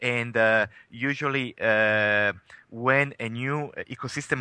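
In a dry, close sound with no echo and a quiet background, a man speaks at a medium pitch with a bright, sharp tone and ordinary pitch variation. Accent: Italian. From Italy. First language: Italian. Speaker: tech company CEO. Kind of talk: interview. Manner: halting, many fillers.

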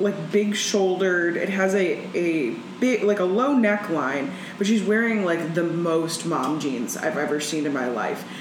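Noticeable background noise accompanies a woman speaking in a medium pitch with lively intonation. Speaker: comedian. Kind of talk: casual chat.

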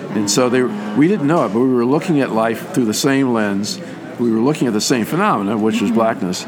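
Over music in the background, a man talks very fast at medium pitch with lively intonation and very even loudness. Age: 70s. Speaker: psychologist. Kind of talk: interview. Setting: convention. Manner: halting.

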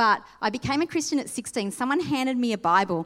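In an Australian accent, a woman speaks fairly quickly at a high pitch with very wide pitch swings, on a very clean recording with a silent background. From Sydney, Australia. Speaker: pastor. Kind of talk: sermon. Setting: church.

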